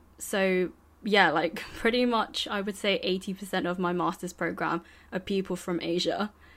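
The speaker has a British accent and fairly even intonation. The pace is fairly slow. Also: woman, medium pitch for a woman. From United Kingdom. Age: 20s. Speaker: graduate student. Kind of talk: casual chat.

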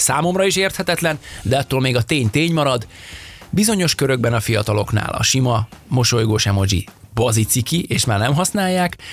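A man at a medium pitch talks at a fairly quick pace with very even loudness and very wide pitch swings over noticeable background noise. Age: middle-aged. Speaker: podcast co-host. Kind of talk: casual chat. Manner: animated.

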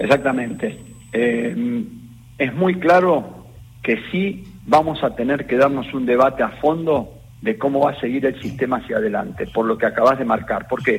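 Somewhat breathy, a man with a fairly high pitch talks at a moderate pace with lively intonation. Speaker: health insurance fund president. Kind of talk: radio interview.

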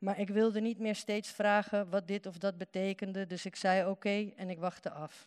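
A woman speaks at a moderate pace. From Netherlands, Uruguayan family. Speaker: writer. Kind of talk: reading aloud.

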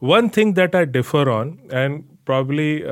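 A man with an Indian accent at a moderate pace, in a very clean recording with a silent background. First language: Hindi. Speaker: newspaper editor. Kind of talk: podcast interview.

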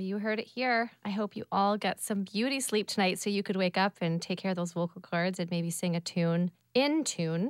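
A woman with a Canadian accent talks at a moderate pace in an unremarkable speaking voice, barely pausing. Her pitch is medium and varies in an ordinary way. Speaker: podcast host. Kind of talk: interview podcast. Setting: studio.

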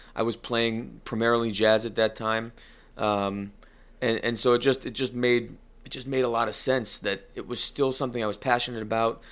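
A man at a medium pitch speaks at a moderate pace with monotone, flat intonation in a very clean recording with a silent background. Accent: American. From US Northeast, northeast Connecticut. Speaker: cigar company executive and musician. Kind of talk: interview. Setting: office.

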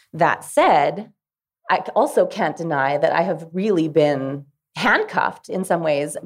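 A woman with a Canadian Prairie accent speaks at a fairly slow pace. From Dauphin, Manitoba, Canada. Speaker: country singer. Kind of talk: panel discussion. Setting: stage with live audience.

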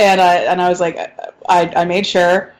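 A woman with an American accent talks at a moderate pace and medium pitch in a normal speaking voice. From US South. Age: 30s. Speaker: podcast co-host. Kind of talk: casual chat.

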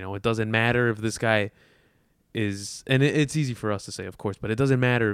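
Against a silent background in a very clean recording, a man speaks with an American accent in an ordinary speaking voice. His pitch is fairly low, his pace fairly quick, and his intonation fairly even. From Chicago. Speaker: sports graphics designer and podcaster. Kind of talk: casual chat. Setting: in Las Vegas.

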